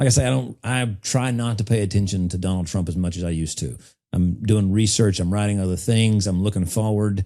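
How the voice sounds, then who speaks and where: A man with an Appalachian accent speaks at a fairly quick pace and a fairly low pitch, with ordinary pitch variation. His tone is dark and mellow, on a very clean recording with a silent background. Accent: Southern US (Appalachian). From US South, eastern Tennessee. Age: 40s. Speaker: political strategist. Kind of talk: podcast interview. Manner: conversational, casual.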